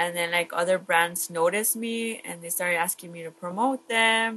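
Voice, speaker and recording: The speaker has an American accent, a bright, sharp tone and fairly even intonation. The pace is fairly slow against a quiet background. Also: woman. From South Texas, Laredo, Mexican parents. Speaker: social media marketer, Instagram model. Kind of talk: casual podcast interview.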